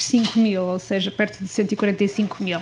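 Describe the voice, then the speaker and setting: Her voice soft-spoken and somewhat breathy, a woman talks in a monotone, flat intonation. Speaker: academic researcher. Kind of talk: research presentation. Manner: halting, many fillers. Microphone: too quiet, too far from the mic.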